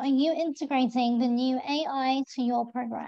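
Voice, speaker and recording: A woman's high-pitched voice against a quiet background. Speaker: webinar host. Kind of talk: webinar moderation. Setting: video call. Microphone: video call.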